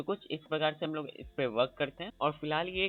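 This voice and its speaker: Over music in the background, a man speaks at a moderate pace in a fairly high pitch. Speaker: software tutorial creator. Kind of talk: tutorial.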